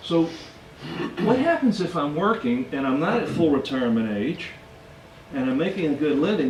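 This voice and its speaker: A man's fairly high voice with very wide pitch swings, amid audible room echo and noticeable background noise. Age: 60s. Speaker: financial educator. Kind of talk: lecture.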